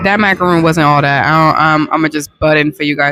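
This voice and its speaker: Soft-spoken, a woman talks at a very fast pace in a dry, close sound with no echo. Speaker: podcast host. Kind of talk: casual chat.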